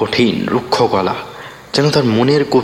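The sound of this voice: The voice reads in an unforced manner, its pitch moving in an ordinary way.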